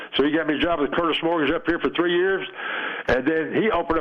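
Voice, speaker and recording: A very fast, fairly high-pitched male voice with an East Tennessee accent and fairly even intonation, amid noticeable background noise. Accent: Southern US, East Tennessee. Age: 80s+. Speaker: retired baseball player. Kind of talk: phone interview. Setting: phone call.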